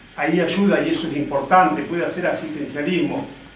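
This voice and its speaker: Against noticeable background noise and audible room echo, a man talks at a moderate pace with ordinary pitch variation. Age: 60s. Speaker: politician. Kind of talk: political speech. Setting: party committee meeting with audience. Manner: hesitant filler 'este'.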